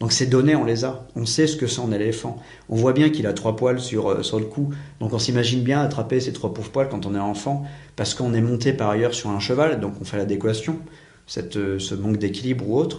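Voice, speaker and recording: A man talks at a fairly quick pace, medium in pitch with ordinary pitch variation and a somewhat breathy quality. Audible room echo surrounds his voice. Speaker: private investigator and teacher. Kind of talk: interview. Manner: fast; assertive.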